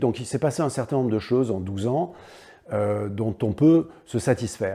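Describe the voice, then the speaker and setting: A man's fairly low voice with lively intonation, at a fairly slow pace. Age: 60s. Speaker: local politician. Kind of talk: political statement to camera. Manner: halting, many hesitations.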